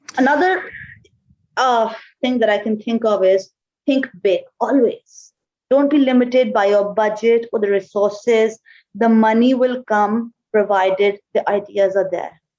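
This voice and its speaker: Fairly slow speech with long, frequent pauses, ordinary pitch variation and very even loudness. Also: woman, fairly high pitch for a woman. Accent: Pakistani. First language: Urdu. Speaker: marketing executive. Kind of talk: interview.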